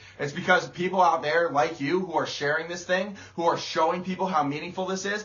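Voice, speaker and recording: A man with an American accent talks at a fairly quick pace in an animated tone, with ordinary pitch variation and noticeable background noise. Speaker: motivational speaker. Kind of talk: motivational livestream talk. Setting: live video stream. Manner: loud.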